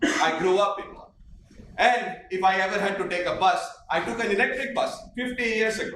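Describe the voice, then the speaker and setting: The speech moves at a moderate pace with lively intonation. Room echo is audible, and there is noticeable background noise. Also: man. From India, Old Delhi. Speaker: transport consultant. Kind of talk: conference presentation. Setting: conference hall with audience, no microphone. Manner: loud.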